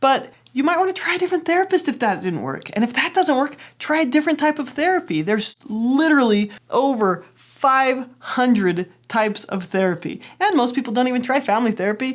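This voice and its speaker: In a very clean recording with a silent background, a woman talks with a high pitch and very wide pitch swings. She goes at a fairly quick pace with hardly any pauses. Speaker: therapist. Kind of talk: educational talk to camera.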